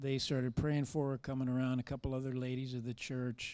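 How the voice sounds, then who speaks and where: On a very clean recording with a silent background, a man speaks with a dark, mellow tone. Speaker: church member sharing testimony. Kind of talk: testimony.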